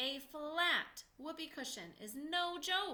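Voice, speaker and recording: Her pace is very slow. She puts on a character voice pitched extremely high. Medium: read story. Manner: jokey, theatrical.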